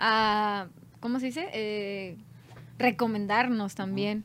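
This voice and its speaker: A normal speaking voice with fairly even intonation, on a very clean recording with a silent background. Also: woman. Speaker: band singer. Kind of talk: casual chat.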